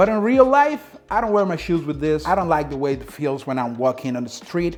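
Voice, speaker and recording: A man talks at a fairly quick pace with a Dominican accent. His pitch makes very wide swings. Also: fairly high pitch for a man. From Dominican Republic. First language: Spanish. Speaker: sneaker reviewer. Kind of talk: product review vlog. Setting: home apartment. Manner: casual, conversational.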